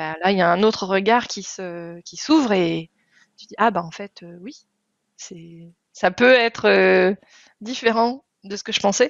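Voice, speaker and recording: Very slowly and with long, frequent pauses, a woman speaks at a medium pitch, her loudness swinging widely. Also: ordinary pitch variation. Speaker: podcast host. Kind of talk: podcast interview conversation.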